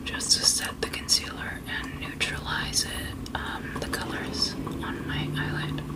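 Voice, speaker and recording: A woman whispers at a fairly slow pace with big swings in loudness over noticeable background noise. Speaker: ASMR creator. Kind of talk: ASMR makeup tutorial, casual talk to camera. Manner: whispered, soft-spoken.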